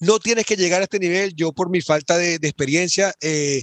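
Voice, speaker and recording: A man's fairly high voice at a very fast pace, ordinary pitch movement, dry and close with no echo. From Venezuela. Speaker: e-commerce entrepreneur. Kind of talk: podcast interview.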